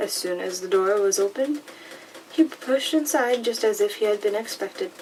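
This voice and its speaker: A soft-spoken voice with an animated tone moves at a moderate pace. Background noise is noticeable throughout. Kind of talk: audiobook-style reading of a fantasy novel. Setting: close-mic recording with paper and rain sounds. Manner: soft-spoken, becoming more animated while reading.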